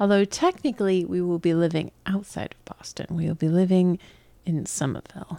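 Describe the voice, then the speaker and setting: A woman with an American accent speaks in a fairly low, dark, mellow voice with fairly even intonation, recorded very clean, dry and close with no echo over a silent background. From New York. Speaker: podcast co-host. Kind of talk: casual chat. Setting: home apartment.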